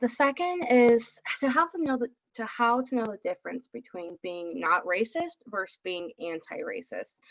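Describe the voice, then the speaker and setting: Her voice high and dry, close with no echo, a woman speaks with very wide pitch swings and big swings in loudness. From New York. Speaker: marriage and family therapist. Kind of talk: lecture. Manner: fast.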